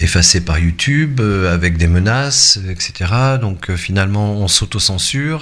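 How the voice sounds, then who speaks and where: A man with a fairly low pitch speaks at a fairly slow pace, with lively intonation and hardly any pauses. Noticeable background noise runs underneath. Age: 60s. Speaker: YouTuber and web radio host. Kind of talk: casual vlog monologue. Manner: hesitant, many fillers.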